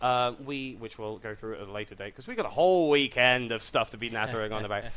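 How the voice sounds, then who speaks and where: A man speaks at a very fast pace and a medium pitch, with big swings in loudness. Noticeable background noise can be heard. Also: ordinary pitch variation. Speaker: stream commentator. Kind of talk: live commentary. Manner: animated.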